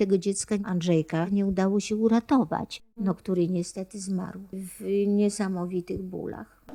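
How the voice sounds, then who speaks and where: Speaking fairly slowly with hardly any pauses, a woman with a medium-pitched, dark, mellow voice keeps to a flat monotone. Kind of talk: interview answer.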